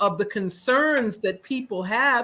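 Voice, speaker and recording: A woman with an American accent uses a raised, projected voice with a bright, sharp tone. Her pace is fairly slow and her intonation lively. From New York. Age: 60s. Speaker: author and activist. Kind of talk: casual chat.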